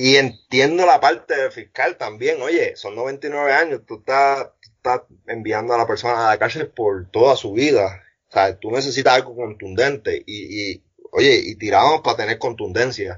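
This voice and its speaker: With big swings in loudness, a man talks at a fairly unhurried pace. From Puerto Rico, north (Arecibo area). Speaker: former homicide detective. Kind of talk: interview.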